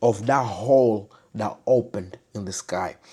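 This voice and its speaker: Speaking at a very slow pace, a man uses a dark, mellow tone. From Africa. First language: not English. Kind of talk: personal testimony. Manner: halting, with pauses.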